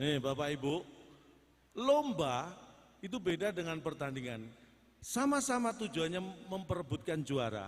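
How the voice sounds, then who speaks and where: Very wide pitch swings mark this fairly slow delivery with long, frequent pauses. Noticeable background noise is present. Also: man, fairly high pitch for a man. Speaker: stand-up comedian. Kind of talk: live comedy performance on stage.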